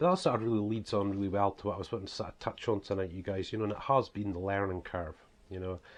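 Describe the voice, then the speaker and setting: A fairly low-pitched man with a strong Scottish accent and fairly even intonation. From Scotland. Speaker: author and preacher. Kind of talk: casual vlog talk. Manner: hesitant, many fillers.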